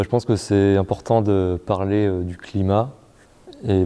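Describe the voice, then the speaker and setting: A man speaks at a very deep, low pitch in a dark, mellow tone. His delivery is fairly slow, with monotone, flat intonation. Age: 20s. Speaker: para table tennis player and engineering student. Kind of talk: interview. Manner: halting, many fillers.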